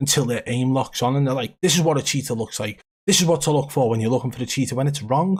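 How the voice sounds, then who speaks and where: A somewhat breathy, fairly high-pitched male voice with ordinary pitch variation, on a very clean recording with a silent background. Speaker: gaming streamer. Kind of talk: live stream commentary. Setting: live stream.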